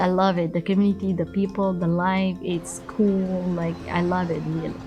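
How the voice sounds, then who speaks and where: A woman's fairly low voice, monotone and flat, at a moderate pace with music in the background. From Somalia. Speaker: refugee case specialist. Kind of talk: interview testimony.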